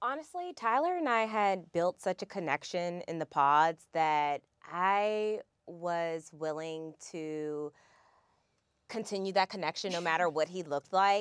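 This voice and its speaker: A woman speaks in a fairly low voice with ordinary pitch variation, her dry sound carrying no echo against a quiet background. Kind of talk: interview answer. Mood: playful, laughing. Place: studio.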